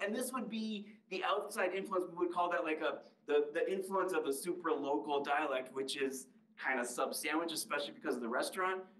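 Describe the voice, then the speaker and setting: A man with a Midwestern American accent, high-pitched and fairly quick, with lively intonation, audible room echo and a quiet background. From US Midwest. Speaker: linguistics professor. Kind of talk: public lecture. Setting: library talk with live and Zoom audience. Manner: conversational, engages audience with questions. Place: hall.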